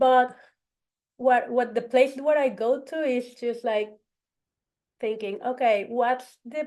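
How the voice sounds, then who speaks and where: With a Spanish accent and a dark, mellow tone, a woman speaks at a very slow pace in a high pitch, with long, frequent pauses. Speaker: podcast guest, ceremony practitioner. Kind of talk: interview. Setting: video call. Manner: halting.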